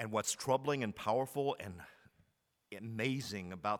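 A man in an American accent has a plain, everyday voice at medium pitch, speaking at a moderate pace with ordinary pitch variation on a very clean recording with a silent background. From Texas, Commerce. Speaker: pastor. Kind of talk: sermon.

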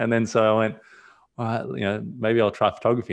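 A very fast pace in an Australian accent. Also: man. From Australia, raised there from age two. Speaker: portrait photographer. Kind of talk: casual interview chat. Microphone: new mic, crisp sound.

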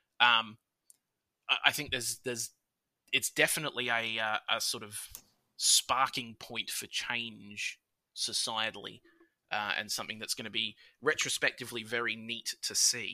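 On a very clean recording with a silent background, a man with an Australian accent speaks at medium pitch in a bright, sharp tone. His intonation is monotone and flat, with long, frequent pauses. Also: moderate pace, dry, close sound with no echo. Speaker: podcast guest. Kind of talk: casual chat. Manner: loud.

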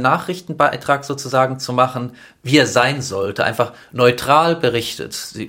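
A man speaks with a bright, sharp tone. His pitch is medium and his pace fairly slow. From Stuttgart, Germany. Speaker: film director and activist. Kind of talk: casual interview.

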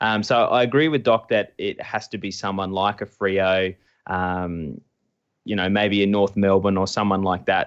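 At a moderate pace, a man with a normal speaking voice speaks at a fairly low pitch with fairly even intonation. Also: quiet background. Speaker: podcast co-host and site founder. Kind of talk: casual interview.

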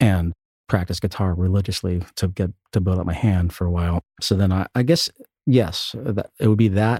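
A man with an American accent speaks at a moderate pace in a very deep, low pitch, somewhat breathy, with ordinary pitch variation. The recording is very clean with a silent background and a dry, close sound with no echo. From Pittsburgh, Pennsylvania. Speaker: multi-instrumentalist and orchestrator. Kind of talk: casual interview chat.

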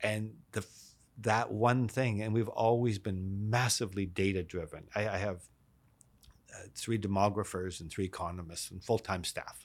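With a western Canadian accent, a man with a fairly low pitch and fairly even intonation shows big swings in loudness on a very clean recording with a silent background. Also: moderate pace. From Canada, East Vancouver. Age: 60s. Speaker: real estate marketing executive. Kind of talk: interview.

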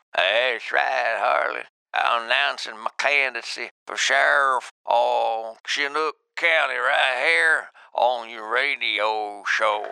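Using a raspy, put-on character voice at medium pitch, a man speaks at a fairly slow pace with lively intonation.

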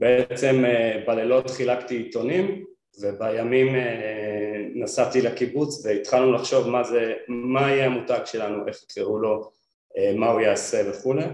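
A man at a fairly slow pace with ordinary pitch variation, with music in the background and audible room echo. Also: medium pitch for a man. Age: 40s. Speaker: product designer and brand founder. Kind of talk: interview. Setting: studio.

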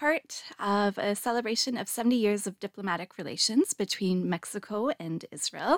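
A woman with a Canadian accent talks in a normal speaking voice, fairly high in pitch with ordinary pitch variation. The sound is dry and close with no echo, on a very clean recording with a silent background. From Canada. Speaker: podcast host and academic. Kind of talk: casual interview. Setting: studio.

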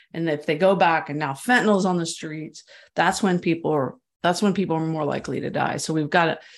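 A woman talks in an ordinary speaking voice. Her pitch is fairly low, with ordinary variation. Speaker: author and journalist. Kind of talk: interview.

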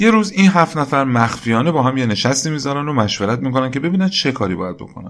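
Medium in pitch, a man talks at a very fast pace with hardly any pauses. His pitch swings very widely. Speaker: history podcast narrator. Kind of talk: scripted narration.

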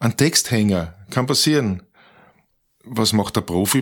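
Over a silent background in a very clean recording, a man talks at a fairly slow pace with lively intonation. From Austria, Tulln (Lower Austria). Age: 60s. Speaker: professional musician and author. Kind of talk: interview. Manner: hesitant, with many repetitions.

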